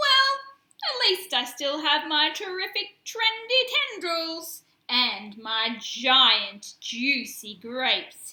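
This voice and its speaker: A woman uses a put-on character voice at an extremely high pitch, swinging very widely in pitch while speaking at a very slow pace. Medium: read story.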